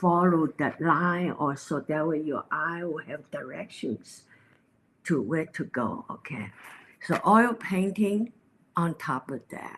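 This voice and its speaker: Using lively intonation, a woman with a Chinese accent and a fairly low pitch speaks at a very slow pace. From China. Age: 80s+. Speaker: painter. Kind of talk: interview. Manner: halting.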